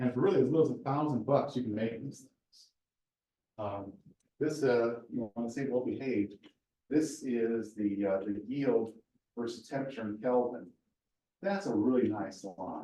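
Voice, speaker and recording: A man with a medium pitch and a dark, mellow tone speaks at a moderate pace, with ordinary pitch variation, big swings in loudness, and long, frequent pauses. Audible room echo is present. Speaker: research scientist, seminar speaker. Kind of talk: lecture. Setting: university seminar with audience.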